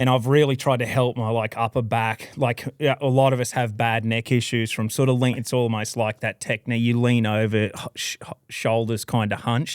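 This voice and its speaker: Speech comes at a moderate pace in an Australian accent, with hardly any pauses and a monotone, flat intonation. The sound is dry and close with no echo, on a very clean recording against a silent background. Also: man, medium pitch for a man. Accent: Australian, kept. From Australia, Queensland (Toowoomba). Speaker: professional bass angler. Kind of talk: casual chat.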